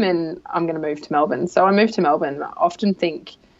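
The speaker is a woman. Her accent is Australian. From rural Australia. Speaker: leadership coach and consultant. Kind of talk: interview.

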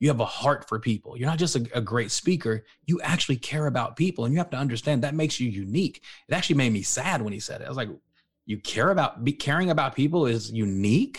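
Speaking very fast in an American accent, a man uses lively intonation at a medium pitch, sounding somewhat breathy. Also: very clean recording, silent background. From Texas, Dallas-Fort Worth area. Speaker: author and motivational speaker. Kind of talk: interview. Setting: studio.

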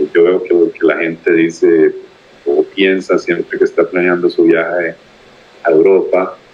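Against noticeable background noise, a man with a Costa Rican accent speaks at a fairly slow pace and very even loudness. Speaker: podcast guest, traveler. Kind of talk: casual interview. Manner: hesitant with frequent fillers and repetitions.

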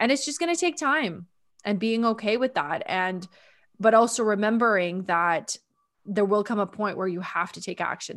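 A woman with a Canadian accent and an ordinary speaking voice, at a medium pitch and fairly quick pace, on a very clean recording with a silent background. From Ontario, Canada. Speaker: sales and energy mentor. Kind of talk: casual interview.

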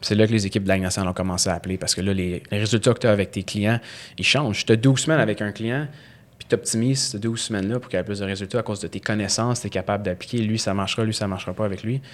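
A man with a fairly low pitch speaks at a very fast pace with fairly even intonation. The recording is very clean, with a silent background. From Quebec, Montreal West Island. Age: 20s. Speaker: strength and conditioning coach. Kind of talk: interview conversation.

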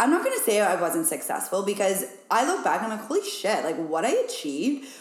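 Speaking at a fairly quick pace, a woman with an American accent uses a medium pitch with very wide pitch swings. Audible room echo and noticeable background noise surround her voice. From Wyoming, US. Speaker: business coach and podcaster. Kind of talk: casual chat. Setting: rural ranch house.

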